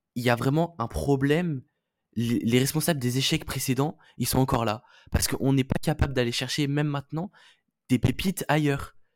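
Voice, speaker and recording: Using a fairly quick pace broken by long, frequent pauses, a man talks at a fairly high pitch with fairly even intonation. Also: dry, close sound with no echo. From Toulon. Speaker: rugby podcast co-host. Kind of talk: casual chat.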